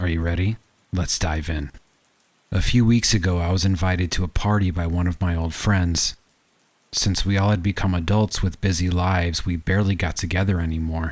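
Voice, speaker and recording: At a fairly quick pace, a man with a very deep, low pitch speaks in a somewhat breathy voice with fairly even intonation. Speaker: horror story narrator. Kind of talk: horror story narration.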